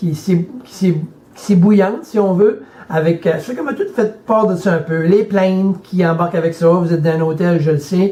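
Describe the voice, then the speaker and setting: There is noticeable background noise behind this man. He talks at a moderate pace with a high pitch. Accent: Acadian. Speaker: motivational speaker and life coach. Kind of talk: motivational video message. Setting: hotel room. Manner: halting, repeats words.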